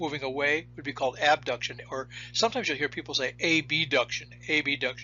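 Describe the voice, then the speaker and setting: Very fast and fairly high in pitch, a man talks with vocal fry and fairly even intonation. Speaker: biology instructor. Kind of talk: lecture. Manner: halting, repeats words.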